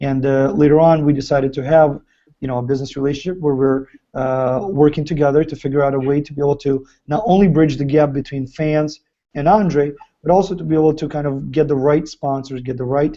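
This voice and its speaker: With a Ukrainian accent, a man speaks fairly quickly at a fairly high pitch and with fairly even intonation. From Ukraine. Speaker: fighter's business partner and chat host. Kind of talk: live video chat with fans. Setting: live video stream.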